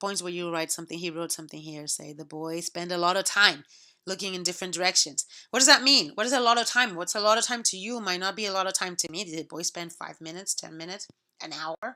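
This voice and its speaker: A woman with a Spanish accent, bright, sharp tone and medium pitch, very fast pace, ordinary pitch variation and big swings in loudness, on a very clean recording with a silent background. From Puerto Rico. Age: 40s. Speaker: college instructor. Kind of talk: recorded lecture to students. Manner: conversational, many fillers and repetitions.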